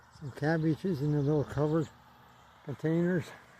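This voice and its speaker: A man with a fairly high pitch and ordinary pitch variation speaks over noticeable background noise. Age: 80s+. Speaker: home vegetable gardener. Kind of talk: casual garden tour narration.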